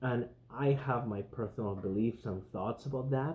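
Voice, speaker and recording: A dark, mellow, somewhat breathy voice at a fairly slow pace. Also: man. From Spain. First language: Spanish. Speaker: podcast host. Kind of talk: casual monologue.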